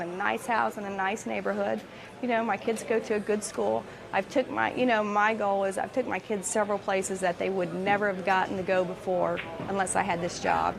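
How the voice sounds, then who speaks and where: With music playing behind her, a woman in a Tennessee accent speaks fairly quickly at medium pitch with lively intonation. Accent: Southern American (Tennessee). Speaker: auto factory worker. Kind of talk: interview testimony.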